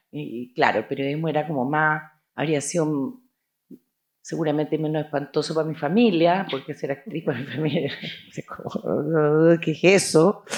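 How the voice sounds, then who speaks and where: A woman's very deep, low voice at a moderate pace. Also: ordinary pitch variation. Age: 60s. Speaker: actress. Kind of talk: interview.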